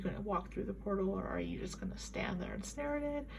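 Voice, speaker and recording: A soft-spoken woman with audible room echo. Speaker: tarot reader. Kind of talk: tarot reading. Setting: home at night. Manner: quiet.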